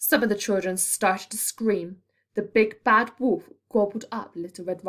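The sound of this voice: Intonation stays fairly even in an unforced reading voice. Nothing much sounds behind it, as the background is quiet.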